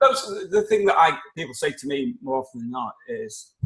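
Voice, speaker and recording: This is a man speaking. He has an English accent. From England. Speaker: life coach. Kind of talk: casual interview.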